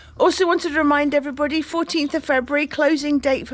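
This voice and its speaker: Very fast speech with noticeable background noise. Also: woman. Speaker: YouTube vlogger renovating a cave house. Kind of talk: casual chat. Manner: loud.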